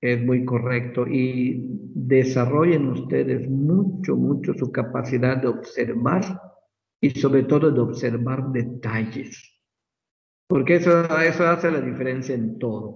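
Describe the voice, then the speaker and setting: Heard with audible room echo, a man with a medium-pitched voice and vocal fry talks at a fairly slow pace with ordinary pitch variation. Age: 60s. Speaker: medical professor. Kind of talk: lecture.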